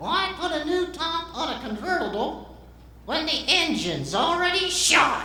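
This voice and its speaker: A man's put-on character voice, extremely high in pitch, at a moderate pace with a clear echo. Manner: cheeky, sassy.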